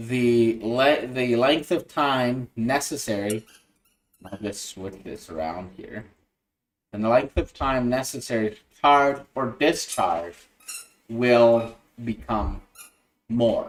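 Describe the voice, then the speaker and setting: A man speaks at a very slow pace with long, frequent pauses, big swings in loudness and ordinary pitch variation. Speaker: electronics hobbyist livestreamer; electronics instructor. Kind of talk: livestream tutorial. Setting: livestream screen share. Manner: halting, many fillers. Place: home room.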